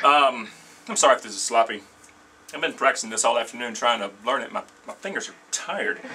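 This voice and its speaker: Over noticeable background noise, a man talks very fast at a medium pitch with ordinary pitch variation, big swings in loudness, and long, frequent pauses. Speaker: guitar teacher. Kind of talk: tutorial.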